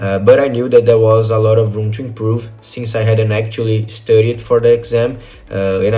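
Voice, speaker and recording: Amid audible room echo and noticeable background noise, a man with a Portuguese accent talks at a moderate pace in a fairly low pitch. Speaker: test-prep student, financial advisor. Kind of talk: testimonial. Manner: hesitant, frequent fillers.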